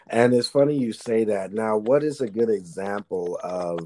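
A man's fairly slow delivery with ordinary pitch variation. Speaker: podcast host. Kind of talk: casual chat.

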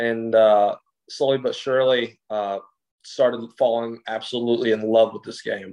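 Speaking at a moderate pace with an American accent, a man uses a medium pitch and monotone, flat intonation. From Greece and West Lafayette, Indiana. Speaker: college football player. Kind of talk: interview.

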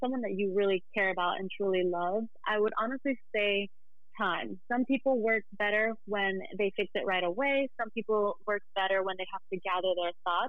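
A woman's unremarkable speaking voice, medium in pitch, with fairly even intonation and a moderate pace. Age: 20s. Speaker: podcast guest, host's younger sister. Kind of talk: casual chat.

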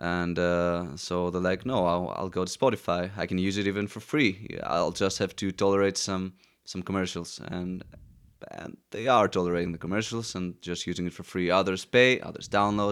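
A man talks at a moderate pace with a very deep, low pitch and fairly even intonation in a Greek accent. The recording is very clean, with a silent background. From Greece, Athens. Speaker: musician. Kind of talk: casual chat. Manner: halting.

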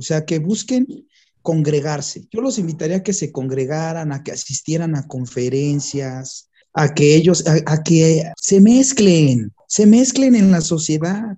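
A man's plain, everyday voice, fairly high in pitch, fairly slow, with lively intonation. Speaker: lawyer and journalist. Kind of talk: casual chat.

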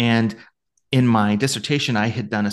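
Against a quiet background, a man with an American accent talks at a fairly quick pace and medium pitch, his pitch varying in an ordinary way. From US, Ohio. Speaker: podcast co-host, academic with a PhD. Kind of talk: casual chat with photo presentation. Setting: video call with shared screen.

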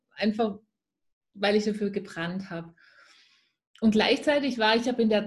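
A somewhat breathy woman with a Swabian accent and fairly even intonation, on a very clean recording with a silent background. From Swabia, near Stuttgart. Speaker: spiritual mindset and business coach. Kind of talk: interview.

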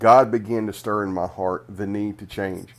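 A man's normal speaking voice, fairly low in pitch with fairly even intonation, in a very clean recording with a silent background. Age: 40s. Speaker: podcast host and author. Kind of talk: reading aloud from own book.

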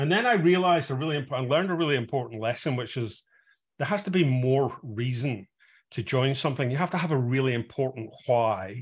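A somewhat breathy man at a medium pitch, talking at a fairly quick pace with ordinary pitch variation, over a quiet background. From Scotland, Glasgow. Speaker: tech executive and investor. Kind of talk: interview. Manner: halting, many fillers.

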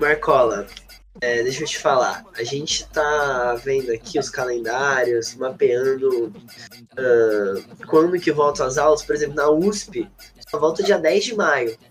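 Very slow speech over noticeable background noise. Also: man, fairly high pitch for a man, ordinary pitch variation. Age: 20s. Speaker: student union president. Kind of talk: casual interview.

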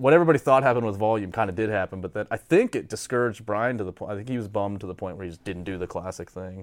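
A man with an American accent talks at a very fast pace with hardly any pauses, his fairly low voice showing ordinary pitch variation and big swings in loudness. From northwestern Pennsylvania, US. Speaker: former pro BMX rider. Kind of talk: casual interview. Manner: animated, laughing often.

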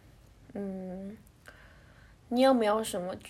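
Speaking with a Taiwanese accent, a woman uses ordinary pitch variation. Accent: Taiwanese Mandarin. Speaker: podcast host. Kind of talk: solo monologue.

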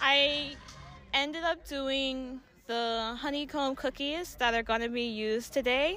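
With music in the background, a woman speaks in a raised, projected voice at a high pitch, fairly slowly and with ordinary pitch variation. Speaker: cosplayer, contest winner. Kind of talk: casual interview.

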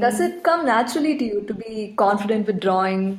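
A woman's fairly high voice carries ordinary pitch variation against noticeable background noise. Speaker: design student. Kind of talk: interview.

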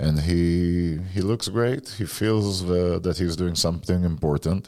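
On a very clean recording with a silent background, a man speaks at a fairly slow pace in a very deep, low pitch, his tone dark and mellow, with ordinary pitch variation. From Israel. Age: 50s. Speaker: former political advisor and speaker. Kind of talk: interview.

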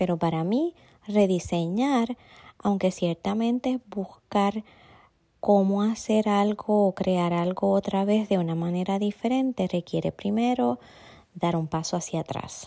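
At a fairly slow pace, a woman speaks with a dark, mellow tone at a medium pitch and ordinary pitch variation. The recording is very clean with a silent background and a dry, close sound with no echo. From Puerto Rico. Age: 50s. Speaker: esthetician. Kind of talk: interview. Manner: formal.

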